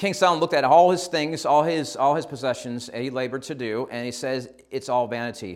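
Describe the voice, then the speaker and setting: Very fast and with lively intonation, a man speaks in an American accent. The recording is very clean, with a silent background. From upstate New York, US. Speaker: missionary preacher. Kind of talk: sermon. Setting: church.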